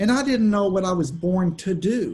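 A man talks at a moderate pace, his pitch high. The tone is dark and mellow. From Texas, Austin. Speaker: country music artist. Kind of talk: casual interview. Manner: halting.

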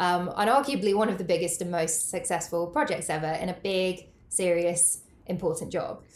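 A woman speaks at a moderate pace with hardly any pauses. Her pitch is fairly low, with ordinary variation. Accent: British. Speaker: burnout coach and yoga teacher. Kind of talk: casual interview, telling her story.

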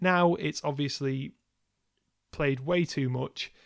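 Recorded very cleanly over a silent background, this is an ordinary speaking voice with ordinary pitch variation. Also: man. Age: 30s. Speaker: podcast co-host, music reviewer. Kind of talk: casual chat.

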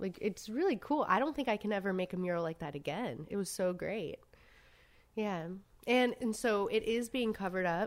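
With a normal speaking voice and an American accent, a woman speaks at medium pitch and a moderate pace in a very clean recording with a silent background. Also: lively intonation. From US South, Savannah, Georgia. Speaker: street artist. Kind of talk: casual interview chat. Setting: around a dining room table.

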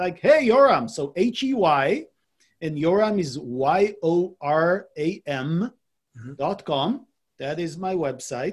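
Speaking very slowly at a high pitch, a man makes very wide pitch swings and big swings in loudness. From Israel. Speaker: business coach. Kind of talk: casual interview.

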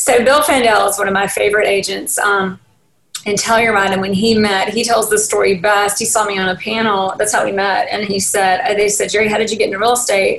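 A woman speaks with a Southern US accent at a medium pitch. Her pace is fairly quick, her intonation monotone and flat. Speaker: real estate agent. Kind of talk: interview. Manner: casual, rambling with self-corrections.

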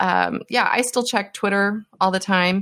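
A woman's ordinary speaking voice, medium in pitch with ordinary pitch variation, on a very clean recording against a silent background. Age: 50s. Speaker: HR tech analyst and podcaster. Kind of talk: casual interview chat.

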